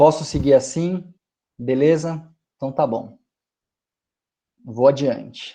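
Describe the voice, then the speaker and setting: Very slow and full of long, frequent pauses, a man speaks with a fairly high pitch, a dark, mellow tone and fairly even intonation. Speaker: lecturer on stingless beekeeping. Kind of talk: online lecture. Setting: video call from home.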